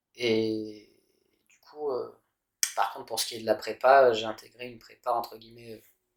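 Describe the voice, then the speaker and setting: A man is speaking. His pace is moderate. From France, Paris. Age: 30s. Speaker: engineer. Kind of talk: interview. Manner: hesitant with fillers.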